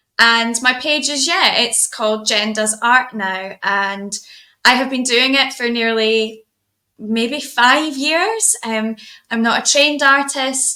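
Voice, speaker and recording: A woman with a Scottish accent, high pitch and bright, sharp tone, at a very slow pace with ordinary pitch variation. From Scotland, Edinburgh. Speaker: artist. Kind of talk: casual chat.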